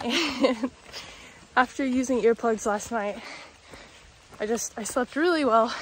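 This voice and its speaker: A woman speaks at a fairly slow pace with ordinary pitch variation, the sound dry with no echo and light background noise behind her. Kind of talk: casual vlog chat. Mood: cheerful, upbeat. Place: forest. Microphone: phone near.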